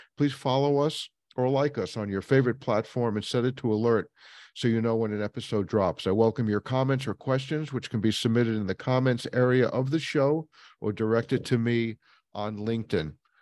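Speaking at a fairly quick pace, this man has an unremarkable speaking voice, medium pitch and ordinary pitch variation. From New York. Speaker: podcast host. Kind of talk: interview; scripted outro.

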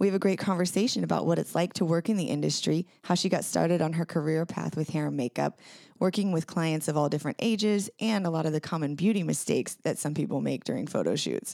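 Her tone dark and mellow with vocal fry, a woman of fairly low pitch speaks at a very fast pace with hardly any pauses and ordinary pitch variation, on a very clean recording with a silent background. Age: 30s. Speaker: podcast host and photographer. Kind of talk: podcast intro monologue.

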